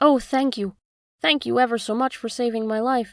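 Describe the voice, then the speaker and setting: A woman uses a put-on character voice that is squeaky and high-pitched, delivered at a moderate pace. The recording is very clean, with a silent background. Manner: grateful.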